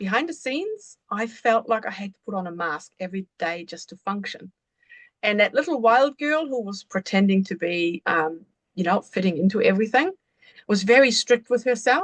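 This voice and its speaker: Speaking with a German accent at a moderate pace, a woman with a fairly high pitch uses lively intonation and big swings in loudness, in a dry, close sound with no echo. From Germany, rural village. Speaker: embodiment coach. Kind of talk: podcast interview.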